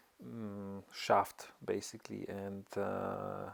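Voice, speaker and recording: A man with a non-native accent speaks with fairly even intonation. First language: not English. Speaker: amateur motorcycle mechanic, tutorial maker. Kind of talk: tutorial. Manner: halting, many fillers.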